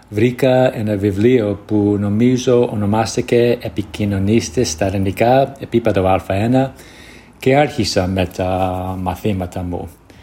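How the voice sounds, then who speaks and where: Speaking at a fairly slow pace, a man with an English accent has a fairly low pitch and ordinary pitch variation. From United States. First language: English (speaking Greek). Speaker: Greek learner sending a listener voice message. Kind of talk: recorded voice message. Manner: halting, searching for words.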